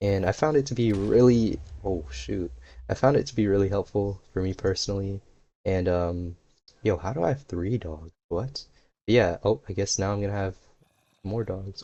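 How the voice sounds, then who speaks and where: A somewhat breathy man at a moderate pace against a quiet background. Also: fairly low pitch for a man. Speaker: YouTuber. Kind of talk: casual unscripted talk while gaming. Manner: monotone at first, livelier later.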